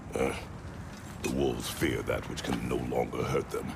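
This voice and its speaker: A man performs a put-on character voice. Loud background noise fills the recording. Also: moderate pace. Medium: machinima. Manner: terse, gruff.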